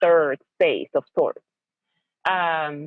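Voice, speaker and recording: A woman speaks at a very slow pace with a Spanish accent. Her pitch is fairly low. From Venezuela. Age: middle-aged. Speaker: educator and parent. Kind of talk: interview. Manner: halting, many fillers and repeated words.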